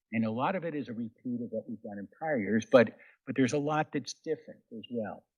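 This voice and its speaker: A man talks at a very fast pace and medium pitch, with ordinary pitch variation and big swings in loudness. The sound is dry and close with no echo, over a quiet background. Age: 60s. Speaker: law clinic director. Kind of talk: presentation.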